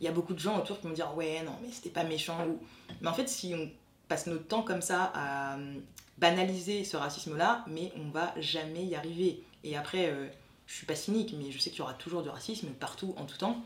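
A woman talks fairly quickly in a fairly low voice with ordinary pitch variation. There is audible room echo. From France. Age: 20s. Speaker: graduate student. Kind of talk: testimony.

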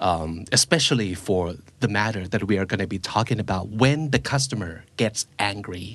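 Here a man speaks with a Thai accent. His intonation is lively and his pace fairly slow. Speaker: podcast host. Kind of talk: casual chat.

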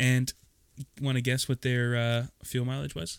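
At a moderate pace, a man of medium pitch speaks in an ordinary speaking voice with a dry, close sound and no echo. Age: 30s. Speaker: podcast co-host. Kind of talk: casual chat.

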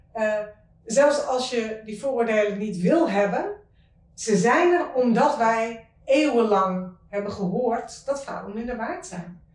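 Very slow speech from a woman in a fairly high pitch with lively intonation and audible room echo. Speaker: author. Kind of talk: interview conversation.

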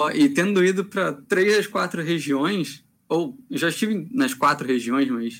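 With very wide pitch swings, a high-pitched man speaks at a fairly slow pace. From Rio de Janeiro. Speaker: tournament organizer and judge. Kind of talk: casual chat.

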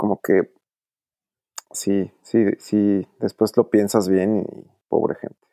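The recording is dry and close with no echo, carrying a man's fairly low, dark, mellow voice. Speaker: doctor. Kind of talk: casual chat. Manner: posh-sounding.

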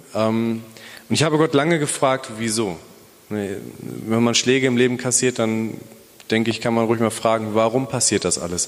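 Speaking at a moderate pace, a man has an ordinary speaking voice, medium pitch and ordinary pitch variation. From Bielefeld, Germany. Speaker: police officer and church planter. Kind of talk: testimony. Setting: church.

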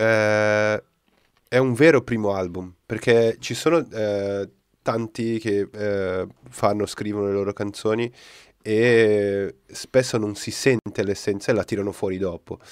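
Very slow speech with long, frequent pauses and fairly even intonation, on a very clean recording with a silent background. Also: man, fairly low pitch for a man. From Brazil. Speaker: podcast host. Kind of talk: casual chat, live podcast. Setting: live stream.

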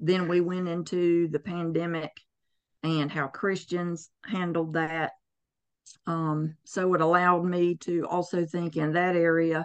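In a Southern US accent, a woman with a fairly low-pitched voice talks at a very slow pace against a quiet background. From US South. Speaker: herbalist. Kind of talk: interview.

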